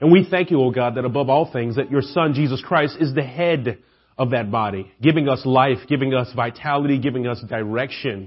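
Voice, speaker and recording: A man with a Southern US accent, somewhat breathy, at a fairly quick pace with ordinary pitch variation. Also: medium pitch for a man. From Atlanta, US South. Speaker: preacher. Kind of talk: sermon. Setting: church.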